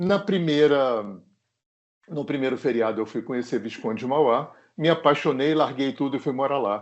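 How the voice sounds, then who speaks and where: A man talks in a plain, everyday voice, pitched fairly high. His pace is moderate and his pitch varies in an ordinary way. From Rio de Janeiro, Zona Sul. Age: 60s. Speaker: singer-songwriter. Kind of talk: interview. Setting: remote recording.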